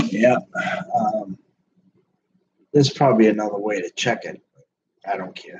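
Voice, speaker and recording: This soft-spoken voice has big swings in loudness. Long pauses come often. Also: man, fairly low pitch for a man, ordinary pitch variation, moderate pace. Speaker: livestreamer. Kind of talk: casual chat. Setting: live video stream.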